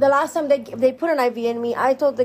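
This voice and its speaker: Dark and mellow in tone, a woman's voice shows ordinary pitch variation. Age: 20s. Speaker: podcast host. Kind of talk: personal monologue. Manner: casual, conversational.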